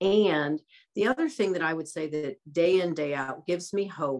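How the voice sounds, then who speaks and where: Against a quiet background, a woman with an American accent speaks at a moderate pace and a fairly low pitch, with ordinary pitch variation. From US Midwest, small-town Iowa. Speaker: LGBTQ rights advocate. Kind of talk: panel discussion. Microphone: video call.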